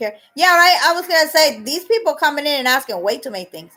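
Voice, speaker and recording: A woman with a Boston accent projects a raised, high-pitched voice with a bright, sharp tone and very wide pitch swings. The recording is very clean, with a silent background. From Boston area, Massachusetts. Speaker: live streamer. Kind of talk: casual live-stream chat reading comments. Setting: live stream.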